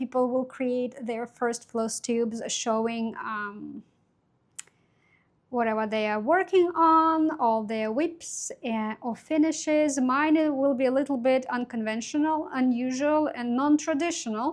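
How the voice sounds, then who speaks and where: A woman speaks with a non-native accent in a high voice. She goes at a fairly slow pace, with ordinary pitch variation. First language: not English. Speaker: crafts YouTuber. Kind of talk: casual vlog talk to camera. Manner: halting, many fillers.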